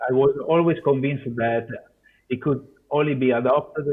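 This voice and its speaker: A man with a non-native accent, medium pitch, ordinary pitch variation and a moderate pace. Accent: non-native English, noticeable. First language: Italian. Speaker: software developer. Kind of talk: conference Q&A. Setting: video call. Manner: halting, many fillers.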